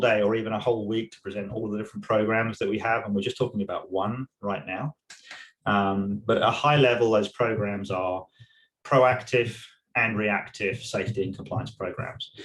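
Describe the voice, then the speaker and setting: The voice is somewhat breathy, with an English accent and fairly even intonation. It moves at a fairly quick pace with big swings in loudness. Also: man, medium pitch for a man. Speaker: tech industry safety manager. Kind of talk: webinar presentation. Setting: online webinar.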